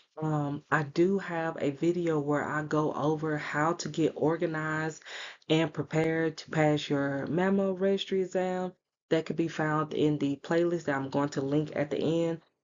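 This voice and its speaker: Soft-spoken and monotone, a woman talks at a moderate pace in a very deep, low pitch with flat intonation. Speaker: radiology exam tutor. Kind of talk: tutorial. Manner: soft-spoken, talking low.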